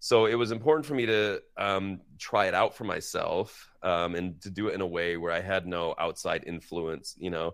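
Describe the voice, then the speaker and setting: On a very clean recording with a silent background, a man speaks in an unremarkable speaking voice with hardly any pauses. His pitch is fairly low, with ordinary variation. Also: moderate pace. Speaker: prosthodontist. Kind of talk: interview. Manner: casual, conversational.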